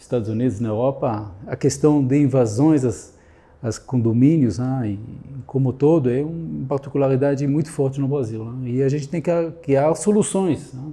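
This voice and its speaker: A man's somewhat breathy, medium-pitched voice with a dark, mellow tone, ordinary pitch variation, and a moderate pace. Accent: Israeli. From Israel. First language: Hebrew (speaking Portuguese). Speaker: security consultant. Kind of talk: interview. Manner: halting.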